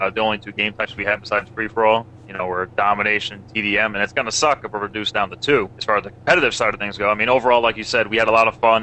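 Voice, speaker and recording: A man talks at a very fast pace with hardly any pauses, his pitch fairly low and his intonation fairly even. Noticeable background noise sits behind him. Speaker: gamer discussing multiplayer. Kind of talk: casual discussion. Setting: live stream voice chat.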